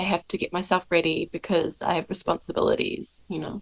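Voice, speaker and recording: Vocal fry runs through a woman's fairly low voice, her intonation fairly even. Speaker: podcast co-host. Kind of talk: casual chat. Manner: halting, many fillers.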